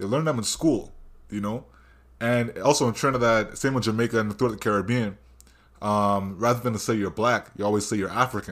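The delivery is animated, at a fairly quick pace with ordinary pitch variation. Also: man, medium pitch for a man. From Canada. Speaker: podcast host. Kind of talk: casual interview. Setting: video call.

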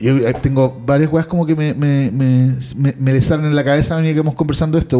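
In a normal speaking voice, the speaker goes at a fairly quick pace with fairly even intonation. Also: man, very even loudness. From Chile. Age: 40s. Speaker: podcast co-host. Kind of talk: casual chat.

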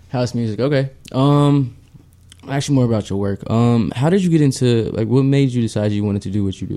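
At a fairly quick pace, a man talks with ordinary pitch variation. His pitch is medium. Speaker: podcast co-host. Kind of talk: casual chat. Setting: studio. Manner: fast talker.

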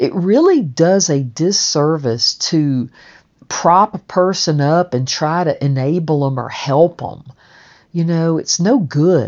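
A woman's fairly low-pitched voice in a Southern US accent. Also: ordinary pitch variation. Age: 60s. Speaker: stonemason and podcast narrator. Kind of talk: personal memoir narration. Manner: conversational with frequent fillers.

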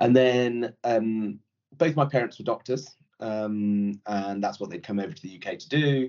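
A man with a Yorkshire accent talks at a fairly slow pace, medium in pitch with ordinary pitch variation. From Yorkshire, northern England (born in India). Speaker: private equity executive. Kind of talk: casual interview.

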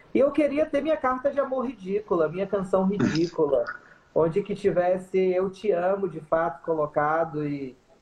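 Her pitch medium, a woman speaks at a moderate pace with very wide pitch swings. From Bahia interior (sertão), Brazil. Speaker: singer in a band. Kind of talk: casual interview. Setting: Instagram live video call.

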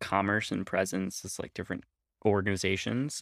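A man's unremarkable speaking voice, fairly quick and fairly even in intonation, with a dry, close sound and no echo. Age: 30s. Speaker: podcast host. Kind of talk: interview.

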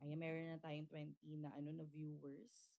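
A woman speaking at a very slow pace. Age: young. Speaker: podcast host. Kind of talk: livestream interview. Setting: livestream.

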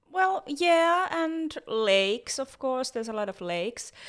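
In a Finnish accent, a woman speaks at a fairly slow pace with very wide pitch swings. The recording is very clean, with a silent background. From Finland. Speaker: podcast co-host. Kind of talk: casual chat.

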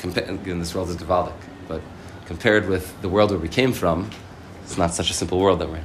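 A man's very deep, low voice with an American accent at a very fast pace, intonation fairly even, loudness swinging widely, amid audible room echo and noticeable background noise. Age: 30s. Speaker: rabbi. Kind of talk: sermon.

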